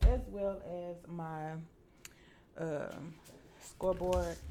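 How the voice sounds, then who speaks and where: Audible room echo surrounds a woman speaking with a Southern US accent. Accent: US South. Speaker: crafting tutorial host. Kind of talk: tutorial. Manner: casual, filler-heavy.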